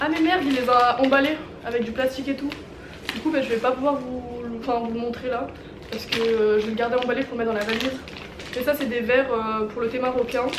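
With noticeable background noise, a woman speaks at a fairly quick pace in a high pitch with fairly even intonation. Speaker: vlogger. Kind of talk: casual vlog chat. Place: home room.

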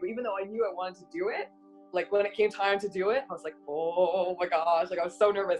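With faint music in the background, a woman speaks at a fairly quick pace. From Montreal, Canada. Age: 20s. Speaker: radio announcer. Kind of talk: interview answer. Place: home room. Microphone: webcam.

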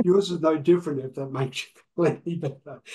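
With an Australian accent, a man speaks in a fairly high, somewhat breathy voice with fairly even intonation. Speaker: podcast host and coach; podcast host, coach. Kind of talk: interview podcast. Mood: friendly, joking. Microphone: video call.

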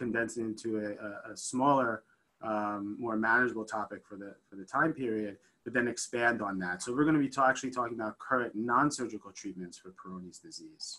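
Here a man talks at a fairly quick pace. His tone is bright and sharp, with big swings in loudness. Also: ordinary pitch variation. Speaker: physician lecturer. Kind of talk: lecture. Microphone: video call.

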